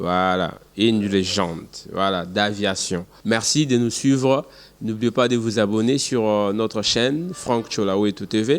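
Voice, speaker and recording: Using a fairly low pitch and ordinary pitch variation, a man talks at a very slow pace in a Congolese accent. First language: Tshiluba (speaking French). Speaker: YouTube channel host. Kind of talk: outro.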